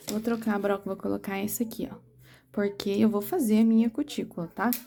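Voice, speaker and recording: Soft-spoken and somewhat breathy, a woman talks at a fairly quick pace in a fairly high pitch. Her tone is dark and mellow, and her intonation stays fairly even. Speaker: nail technician instructor. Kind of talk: tutorial.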